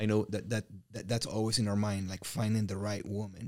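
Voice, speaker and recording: A man with a Mexican accent speaks at a fairly quick pace in a fairly low pitch. The recording is very clean, with a silent background. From Mexico. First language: Spanish. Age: 40s. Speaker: real estate business owner and coach. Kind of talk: interview conversation.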